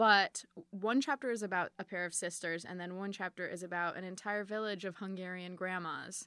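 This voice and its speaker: A woman with an American accent, medium pitch, a bright, sharp tone, fairly even intonation and a fairly quick pace, in a very clean recording with a silent background. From Chicago suburbs. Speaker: author and podcaster. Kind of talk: interview. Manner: halting.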